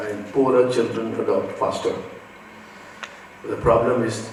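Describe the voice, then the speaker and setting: A man speaks at a moderate pace in a medium pitch. There is noticeable background noise and audible room echo. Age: 60s. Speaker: education technology speaker. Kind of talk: conference talk.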